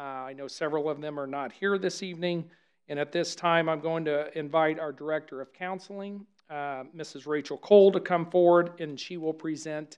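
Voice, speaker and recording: With a quiet background behind him, a man speaks at a moderate pace and keeps his intonation fairly even. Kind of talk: formal address at a meeting. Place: meeting room. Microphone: podium.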